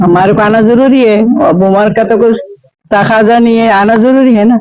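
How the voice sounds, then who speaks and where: A man with a high pitch and fairly even intonation. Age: 60s. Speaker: elderly voter. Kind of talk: street interview.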